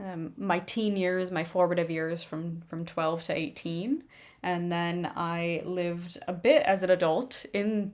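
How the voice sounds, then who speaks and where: A woman with a fairly low pitch speaks at a very slow pace in an American accent, using ordinary pitch variation. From Minnesota, Ireland and London (mixed upbringing). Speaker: streamer painting miniatures. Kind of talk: casual livestream chat.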